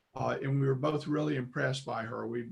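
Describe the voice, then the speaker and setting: A man talks in a somewhat breathy voice. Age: 70s. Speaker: congregation member. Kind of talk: testimony. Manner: halting.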